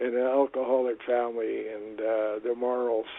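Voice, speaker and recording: A man with a Canadian accent speaks fairly slowly at a medium pitch. Noticeable background noise runs under his voice. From Canada, Vancouver. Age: 70s. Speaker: retired reverend. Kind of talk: podcast interview. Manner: halting.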